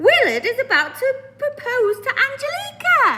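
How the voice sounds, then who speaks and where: A woman's squeaky, put-on character voice, extremely high-pitched with very wide pitch swings, at a moderate pace. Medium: read story. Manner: rude, smug.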